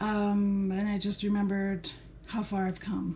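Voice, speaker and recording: Noticeable noise runs in the background. A woman speaks at a medium pitch and a moderate pace. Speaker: vlogger sharing cancer recovery. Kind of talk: casual vlog monologue. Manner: rambling with many fillers.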